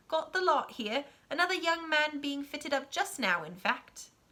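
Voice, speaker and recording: Put-on character voice from a woman, pitched high, delivered at a moderate pace. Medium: read story. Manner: brisk, warm.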